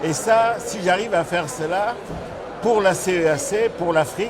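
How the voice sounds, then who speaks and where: A man with a high voice speaks at a fairly slow pace with ordinary pitch variation and long, frequent pauses, amid audible room echo and noticeable background noise. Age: 60s. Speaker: organic agriculture business leader. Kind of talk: interview. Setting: climate conference. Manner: halting, many fillers.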